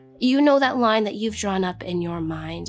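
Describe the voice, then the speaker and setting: Music plays in the background as a woman speaks. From Canada. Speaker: spoken word poet. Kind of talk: spoken word poetry performance.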